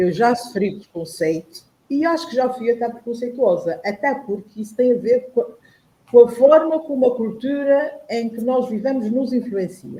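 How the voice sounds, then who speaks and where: A woman talks in a high pitch at a moderate pace, her intonation lively. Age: 60s. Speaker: panel guest on online talk show. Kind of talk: personal testimony in panel discussion.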